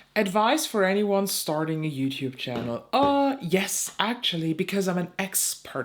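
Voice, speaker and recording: A fairly low-pitched woman with a German accent, very wide pitch swings and hardly any pauses. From eastern Germany, Saxony. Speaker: beauty YouTuber. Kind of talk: casual chat. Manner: slow; hesitant.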